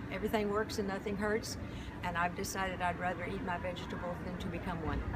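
A woman with an American accent at a very fast pace, over loud background noise. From Denver, Colorado. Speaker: event attendee. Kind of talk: interview answer. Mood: upbeat, witty. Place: hall. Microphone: phone near.

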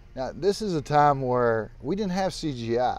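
A man's voice swings very widely in pitch. The sound is dry with no echo, over light background noise. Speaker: co-host. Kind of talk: casual conversational commentary. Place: garden.

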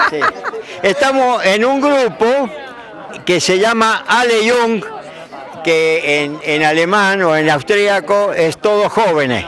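With light background noise and a dry sound with no echo, a high-pitched man speaks at a very slow pace with long, frequent pauses. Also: lively intonation. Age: 80s+. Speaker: veteran roller skater. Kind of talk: interview. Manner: halting. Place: open country. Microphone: handheld.

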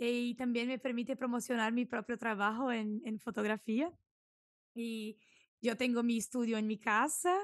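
Fairly slow delivery with fairly even intonation, a dry sound lacking echo, and a quiet background. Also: woman, fairly high pitch for a woman. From southern Brazil, Santa Maria; southern Brazil. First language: Portuguese (speaking Spanish). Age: 20s. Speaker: food and product photographer; podcast guest. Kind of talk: podcast interview; interview answer. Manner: hesitant, with fillers. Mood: friendly, smiling. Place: home room. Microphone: studio mic.

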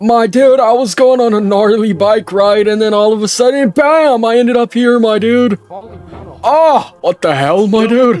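Drawling in a put-on character voice at a high pitch, a man talks at a moderate pace with hardly any pauses while faint music plays in the background. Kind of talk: comic overacting. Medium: game stream. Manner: laid-back slacker drawl, says "my dude" constantly.

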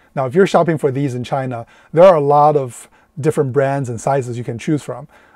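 Over a quiet background, a man speaks in a dark, mellow tone with a dry sound and no echo. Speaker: van life reviewer. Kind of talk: product review vlog. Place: car. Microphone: lapel.

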